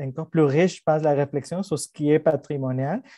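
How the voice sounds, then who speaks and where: The man's voice is fairly high, with a dark, mellow tone. His intonation stays fairly even. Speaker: professor and panel moderator. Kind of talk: panel discussion moderation. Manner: hesitant, many repetitions and fillers.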